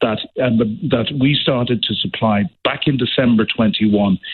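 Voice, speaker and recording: A man talks with an Irish accent. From Ireland. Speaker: former diplomat. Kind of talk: radio interview.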